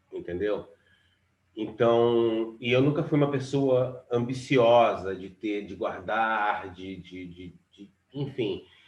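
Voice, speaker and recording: Speaking at a very slow pace, a man's voice shows big swings in loudness. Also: medium pitch for a man, ordinary pitch variation. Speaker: musician. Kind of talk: casual chat. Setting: live stream.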